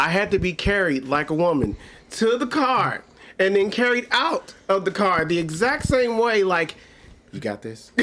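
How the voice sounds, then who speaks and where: The voice moves at a moderate pace with very wide pitch swings. Noticeable background noise runs underneath. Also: man, high pitch for a man. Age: 40s. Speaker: comedian. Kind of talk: casual chat.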